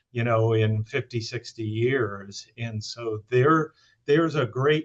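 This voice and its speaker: A somewhat breathy man talks very slowly at medium pitch. His intonation is fairly even. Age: 60s. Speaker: economic impact analyst. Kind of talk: webinar discussion. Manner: hesitant, many fillers.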